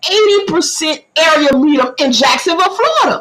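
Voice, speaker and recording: An animated tone in a Southern US accent at a moderate pace. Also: woman. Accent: country Southern dialect. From US South, southeast Georgia (Camden County). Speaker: community information livestreamer. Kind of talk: livestream talk giving public information. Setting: multi-platform livestream.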